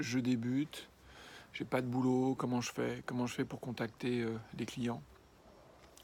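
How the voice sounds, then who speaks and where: A man at medium pitch speaks with monotone, flat intonation. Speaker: freelance illustrator. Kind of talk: vlog advice talk. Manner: stammering; hesitant, many fillers.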